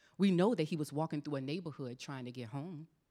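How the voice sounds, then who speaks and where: A woman speaks with an American accent. Her pitch is very deep and low, with ordinary variation. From US South, South Carolina. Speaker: author and military veteran. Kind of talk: panel conversation; reading aloud from her book. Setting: church stage with audience.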